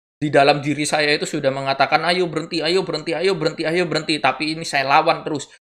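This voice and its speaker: With a fairly high voice, a man rattles along at a very fast pace with hardly any pauses in a monotone, flat delivery. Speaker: YouTuber. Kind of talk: nonstop solo monologue. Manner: rambling babble.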